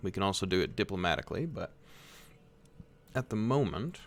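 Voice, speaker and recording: In an American accent, a man speaks at a fairly low pitch with vocal fry. The recording is very clean, with a silent background. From United States. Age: 20s. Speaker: video game streamer. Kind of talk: live gameplay commentary. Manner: casual, conversational.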